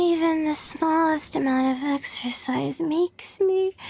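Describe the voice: A woman puts on a character voice at a high pitch, with vocal fry and a slightly mellow tone. She speaks at a slow pace with ordinary pitch variation.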